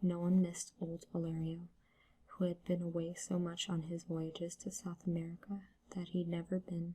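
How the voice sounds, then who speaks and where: A soft-spoken voice at a moderate pace. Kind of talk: soft-spoken ASMR story reading.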